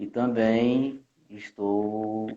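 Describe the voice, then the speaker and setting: In a monotone, flat intonation, a man speaks with a fairly low pitch. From Rio de Janeiro, with years in Minas Gerais. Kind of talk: interview guest. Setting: Instagram live video call.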